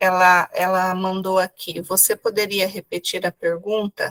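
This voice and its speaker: A woman at a very slow pace, in a dry, close sound with no echo. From Paraná, southern Brazil. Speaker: pedagogue, event host. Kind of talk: reading chat messages.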